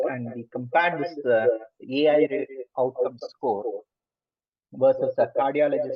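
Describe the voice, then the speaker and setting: A man speaks with a strong Indian accent. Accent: thick Indian. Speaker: lecturer. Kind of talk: lecture. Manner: fast.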